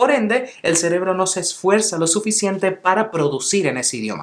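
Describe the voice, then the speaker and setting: Talking at a fairly quick pace, the man has a high pitch. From Venezuela, Caracas (childhood), teens and adulthood abroad. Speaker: English teacher, language YouTuber. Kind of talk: tutorial.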